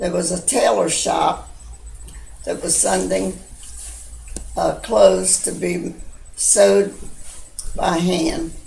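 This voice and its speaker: A very slow delivery with long, frequent pauses, audible room echo and noticeable background noise. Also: woman. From Baltimore, US (Little Italy). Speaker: grandmother recounting memories. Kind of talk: oral history storytelling. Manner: halting, with many fillers.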